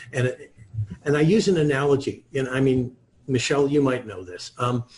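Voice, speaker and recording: A somewhat breathy voice at a moderate pace, with ordinary pitch variation and big swings in loudness. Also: man, medium pitch for a man. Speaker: author and wealth coach. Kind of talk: interview.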